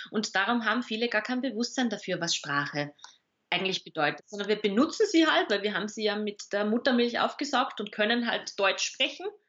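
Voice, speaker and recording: Speaking at a fairly quick pace with an Austrian accent, a woman uses lively intonation at a fairly high pitch. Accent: Austrian German dialect, audible. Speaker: communication expert and author. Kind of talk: interview.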